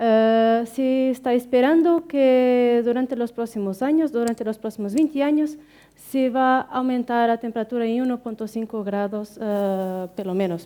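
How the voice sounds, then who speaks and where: A woman with a high voice and a non-native accent talks at a fairly slow pace, hardly pausing at all. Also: ordinary pitch variation. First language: Portuguese (speaking Spanish). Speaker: researcher. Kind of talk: conference talk. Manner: halting, many fillers.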